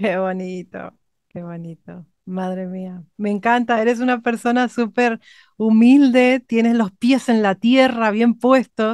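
Speaking at a very slow pace, a woman with a fairly high pitch shows big swings in loudness and ordinary pitch variation in a dry, close sound with no echo. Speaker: vocal coach. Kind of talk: interview. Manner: animated.

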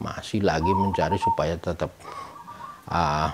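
Noticeable background noise continues as a man speaks at a moderate pace. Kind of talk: interview answer. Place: home room.

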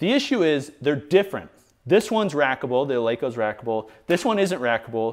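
Against a quiet background, a man with an American accent speaks at a moderate pace, his pitch swinging very widely. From US Midwest. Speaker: fitness equipment reviewer. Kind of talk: casual video review. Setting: home garage gym. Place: garage.

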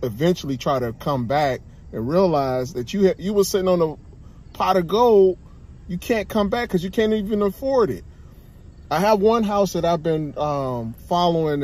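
In a dry setting with no echo, a man speaks at a moderate pace with a high pitch. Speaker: vlogger. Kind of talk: casual vlog chat. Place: car. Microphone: phone near.

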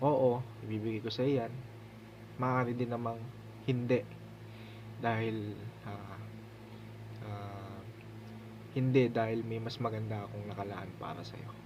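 A man speaks at a medium pitch and a fairly slow pace, with long, frequent pauses. His intonation is monotone and flat, and there is noticeable background noise. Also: big swings in loudness. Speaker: devotional speaker. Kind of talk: devotional teaching, ending in a prayer; fervent prayer, earnest and reverent. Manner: humble, polite, respectful; sincere, earnest, heartfelt in the prayer.

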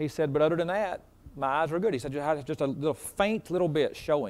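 The pace is very fast. A man delivers it with ordinary pitch variation. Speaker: preacher. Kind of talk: sermon, informal story before it. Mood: warm, chatty. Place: church.

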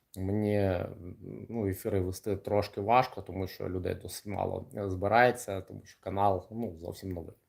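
A man at a moderate pace and fairly low pitch, with fairly even intonation and big swings in loudness. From Kryvyi Rih, Ukraine. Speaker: kickboxer and coach. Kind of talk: livestream monologue. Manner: casual, hesitant with fillers.

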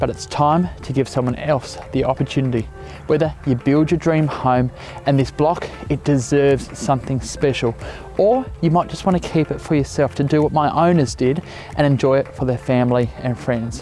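Faint music plays in the background of a dry recording with no echo. The pace is moderate, with ordinary pitch variation. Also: man, fairly high pitch for a man. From Australia. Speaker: real estate agent. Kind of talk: property listing presentation to camera. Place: open country. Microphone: lapel.

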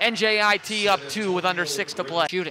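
Excited and raised in a projected voice, a man speaks at a high pitch and fairly slow pace with ordinary pitch variation. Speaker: basketball broadcaster. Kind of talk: live sports commentary. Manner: excited, punchy exclamations.

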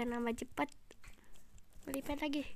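A woman is speaking. Her intonation is lively. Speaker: gaming YouTuber. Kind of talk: gameplay commentary. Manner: casual, rambling.

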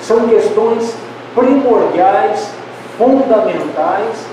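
Amid strong room echo and noticeable background noise, a man with a high pitch speaks at a very slow pace. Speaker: lecturer. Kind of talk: lecture. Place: hall.

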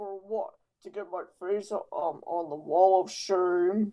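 This woman speaks at a very slow pace with a medium pitch and ordinary pitch variation. Her loudness swings widely. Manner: sarcastic, scornful.

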